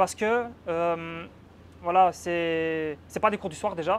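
This man has a high-pitched voice and a Belgian accent. Light background noise can be heard. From Belgium. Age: 20s. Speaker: exchange student. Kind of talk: casual chat. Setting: apartment tour. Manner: animated. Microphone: lapel.

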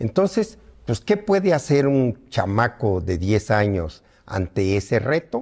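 Very slow delivery with very wide pitch swings, over a quiet background. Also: man. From Mexico, Morelos; Mexico. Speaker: veteran politician; interviewee. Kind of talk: interview. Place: home room.

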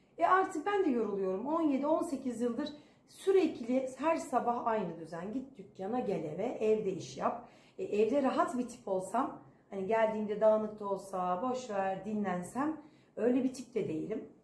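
A fairly high-pitched woman's voice at a fairly slow pace, with very wide pitch swings and audible room echo. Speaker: vlogger. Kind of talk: casual vlog chat. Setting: home. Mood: tired, reflective. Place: home room. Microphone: phone near.

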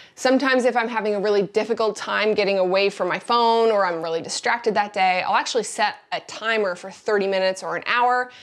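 The background stays quiet while a woman talks at a very fast pace. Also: hardly any pauses. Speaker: creator showing her desk setup. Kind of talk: casual vlog tour. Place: office. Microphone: lapel.

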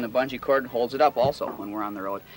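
A man speaks at a very fast pace with ordinary pitch variation. The sound is dry with no echo, and there is noticeable background noise. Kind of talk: tutorial. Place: open country.

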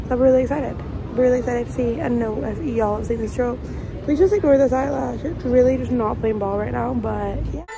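A woman with an American accent speaks at a fairly quick pace. Noticeable background noise is heard. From Scotland. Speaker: professional dancer. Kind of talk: casual vlog talk to camera. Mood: excited and nervous. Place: street. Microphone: phone near.

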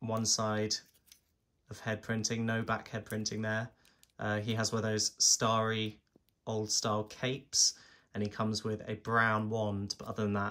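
With long, frequent pauses, a man speaks at a moderate pace in a fairly low, flat monotone that has a bright, sharp tone. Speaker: toy reviewer. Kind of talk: product review commentary. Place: home room. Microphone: phone near.

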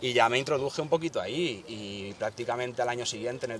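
A man talks at a fairly quick pace in a normal speaking voice. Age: 30s. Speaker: rapper. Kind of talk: interview.

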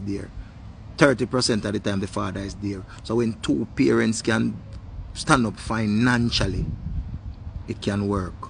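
Amid light background noise, a man with fairly low pitch and vocal fry speaks at a moderate pace with ordinary pitch variation and long, frequent pauses, the sound dry with no echo. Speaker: commentator. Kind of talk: casual opinion vlog rant. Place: garden. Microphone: phone near.

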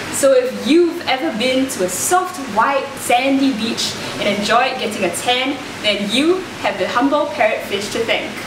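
Over noticeable background noise, a woman with a high pitch speaks at a fairly slow pace with lively intonation. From Singapore. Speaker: marine ecologist; presenter. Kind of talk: presenter audition piece. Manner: animated. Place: studio.

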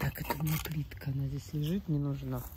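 A woman talks at a fairly slow pace while light background noise sits behind her. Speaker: gardening video blogger. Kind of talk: casual garden tour vlog. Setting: outdoors in her garden. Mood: calm, slightly concerned. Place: garden. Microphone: phone near.

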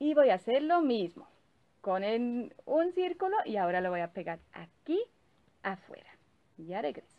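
A woman speaks rather slowly. Her voice sits high in pitch. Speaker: presenter. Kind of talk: tutorial. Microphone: phone near.

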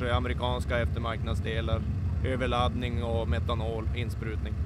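A man's voice comes through dry and echo-free, set against loud background noise. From northern Sweden. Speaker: drag racer. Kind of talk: casual interview. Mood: calm, matter-of-fact. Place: open country. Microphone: handheld.

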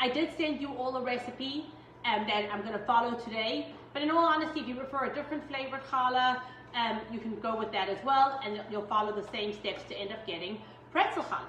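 Over light background noise and audible room echo, a woman speaks at a very fast pace in a high voice with ordinary pitch variation. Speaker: home baking instructor. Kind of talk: tutorial. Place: kitchen. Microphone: camera far.

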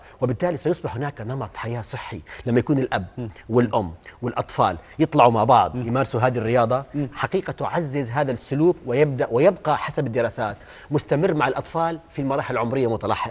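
His pitch shows ordinary variation. The man moves along at a fairly quick pace. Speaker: sports medicine doctor; talk show guest. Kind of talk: TV talk show interview. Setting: TV studio. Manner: animated. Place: studio. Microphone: lapel.

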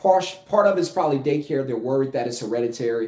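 Against a quiet background with audible room echo, a man with a South Louisiana accent speaks at a fairly high pitch with lively intonation. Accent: South Louisiana US Southern. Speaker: finance YouTuber and business coach. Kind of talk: casual vlog monologue. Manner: conversational with filler words. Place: home room. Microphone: phone near.

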